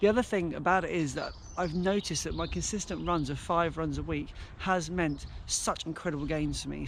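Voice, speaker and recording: A man speaks in a southern English accent. Audible room echo and noticeable background noise fill the recording. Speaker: running vlogger. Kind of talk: vlog monologue. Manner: fast; halting.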